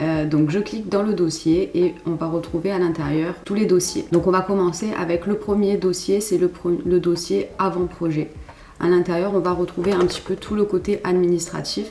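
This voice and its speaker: A woman's fairly low, monotone, flat voice at a moderate pace, with noticeable background noise. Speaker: graphic designer. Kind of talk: tutorial. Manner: casual, with frequent hesitations.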